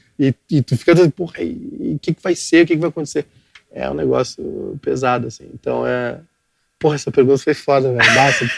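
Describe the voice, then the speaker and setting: A man with a southern Brazilian accent speaks at a fairly quick pace. The sound is dry and close, with no echo. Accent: gaúcho Brazilian Portuguese. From southern Brazil, Rio Grande do Sul (Cachoeirinha). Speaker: digital media entrepreneur. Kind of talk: podcast interview. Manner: halting, repetitive.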